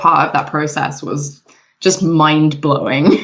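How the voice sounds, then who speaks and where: A woman with an English Midlands accent and a very deep, low pitch. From England, Nottingham. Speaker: video game product manager. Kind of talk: casual interview chat.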